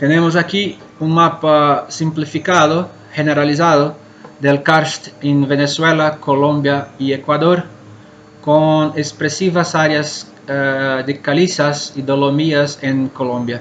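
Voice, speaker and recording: Very slowly and in a flat monotone, a man with a Portuguese accent speaks at a fairly high pitch over music in the background. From Brazil, Minas Gerais. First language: Portuguese (speaking Spanish). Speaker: cave scientist, conference speaker. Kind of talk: conference talk. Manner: halting.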